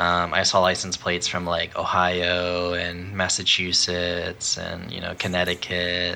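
A man speaks at a fairly slow pace in a very deep, low voice with monotone, flat intonation over noticeable background noise. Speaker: podcast co-host. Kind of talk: casual podcast chat.

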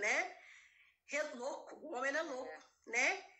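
A woman's raised, projected voice rings high, bright and sharp, with audible room echo around it. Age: 50s. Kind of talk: casual chat.

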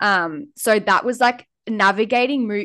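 A woman speaks with an Australian accent and fairly even intonation. The background is quiet. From Australia, New South Wales north coast. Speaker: podcast co-host. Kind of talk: casual chat.

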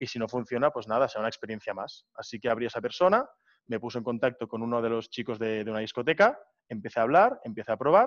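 A man at a very fast pace, medium in pitch with ordinary pitch variation, in a dry, close sound with no echo over a quiet background. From Barcelona, Spain. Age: 20s. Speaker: student, entrepreneur and DJ. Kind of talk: interview.

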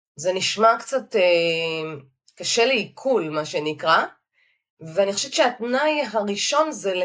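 A woman's voice with very wide pitch swings. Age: 50s. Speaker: clinical dietitian. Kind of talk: interview.

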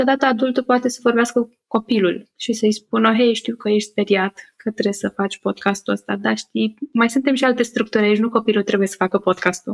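The speech runs at a fairly quick pace with hardly any pauses, in a dry, close sound with no echo. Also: woman, fairly high pitch for a woman. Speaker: psychotherapy-informed podcaster and workshop leader. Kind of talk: interview conversation. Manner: upbeat.

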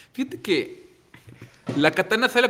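Lively intonation runs through a normal speaking voice delivered at a moderate pace. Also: man. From Manzanillo, Colima, Mexico. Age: 30s. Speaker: chef and restaurant owner. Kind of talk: casual interview.

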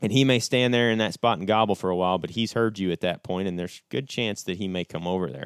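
Using an American accent, a man speaks very fast with hardly any pauses, a fairly low pitch and ordinary pitch variation. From US Midwest. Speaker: turkey and elk hunter. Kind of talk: casual chat. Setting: around a table, in person.

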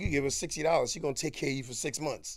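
On a very clean recording with a silent background, a man with a Harlem accent speaks at a fairly high pitch. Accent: New York City, Harlem. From Harlem, New York. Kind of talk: casual interview, storytelling.

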